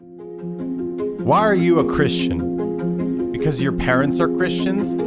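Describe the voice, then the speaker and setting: Music plays behind a man with a very deep, low pitch and lively intonation. He speaks very slowly with very even loudness. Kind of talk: promotional trailer voiceover.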